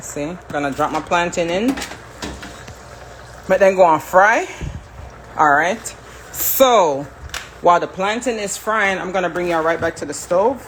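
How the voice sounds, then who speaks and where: With a Jamaican accent, a woman speaks at a fairly slow pace, taking long, frequent pauses. Her pitch is fairly low with ordinary variation, over noticeable background noise. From Jamaica, moved to US at seven. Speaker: home cook, social media creator. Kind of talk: live cooking stream, casual chat with viewers. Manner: animated.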